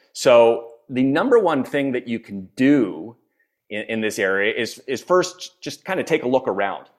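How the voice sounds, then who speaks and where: A man with an American accent speaks at a fairly slow pace in an ordinary speaking voice, medium in pitch, with lively intonation. The recording is very clean, with a silent background. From US, Philadelphia. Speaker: executive coach and author. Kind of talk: interview.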